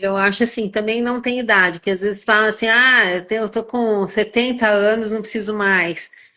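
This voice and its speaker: The woman's voice is fairly high and paced moderately. Her intonation stays monotone and flat. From São Paulo, Brazil. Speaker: gynecologist. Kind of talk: casual chat. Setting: live stream. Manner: halting, many repetitions.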